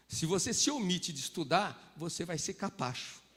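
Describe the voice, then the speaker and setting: This is a man speaking. His intonation is lively. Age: 60s. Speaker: pastor. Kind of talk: sermon. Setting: church.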